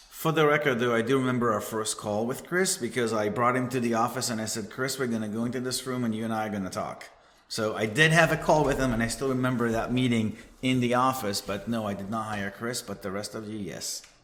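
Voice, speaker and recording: With an Israeli accent, a man talks at a very fast pace and medium pitch. Audible room echo surrounds his voice. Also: ordinary pitch variation. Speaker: cybersecurity manager. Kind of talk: casual chat.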